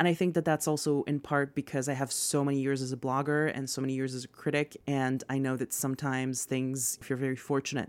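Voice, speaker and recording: On a very clean recording with a silent background, a woman speaks with a very deep, low pitch. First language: not English. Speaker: podcast host, media and culture critic. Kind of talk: unscripted Q&A monologue.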